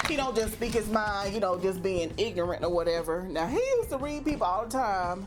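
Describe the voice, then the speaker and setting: Animated, with lively intonation, a woman at a medium pitch speaks at a very fast pace and very even loudness, with audible room echo and noticeable background noise. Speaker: vlogger. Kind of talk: casual vlog monologue.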